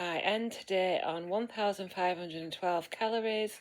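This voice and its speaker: This woman has a medium pitch. She speaks with a British accent. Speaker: vlogger. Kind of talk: video diary.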